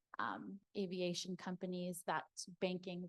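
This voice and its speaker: In a Canadian accent, a woman with an unremarkable speaking voice and a fairly low pitch talks at a fairly slow pace, the sound dry and close with no echo. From Toronto. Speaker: lawyer. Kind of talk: panel discussion.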